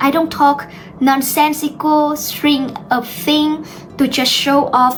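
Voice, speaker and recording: A woman with a high voice speaks very slowly over background music. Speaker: English teacher YouTuber. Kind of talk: tutorial. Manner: slow, deliberate; clear ending sounds.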